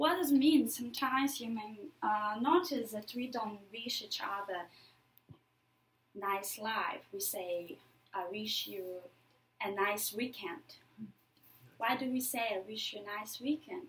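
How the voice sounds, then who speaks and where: A woman speaks at a fairly high pitch, somewhat breathy, with lively intonation at a fairly slow pace, long, frequent pauses and audible room echo. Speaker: public speaker. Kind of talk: lecture.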